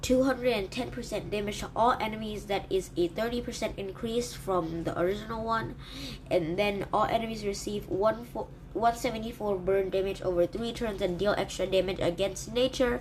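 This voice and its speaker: Over noticeable background noise, a woman speaks at a moderate pace in a medium pitch with ordinary pitch variation. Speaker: gaming YouTuber. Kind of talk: game review commentary. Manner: hesitant fillers.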